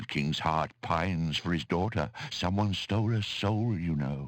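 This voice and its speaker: A man speaks in a put-on character voice at a moderate pace. His pitch is very deep and low. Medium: video game. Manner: authoritative, grave.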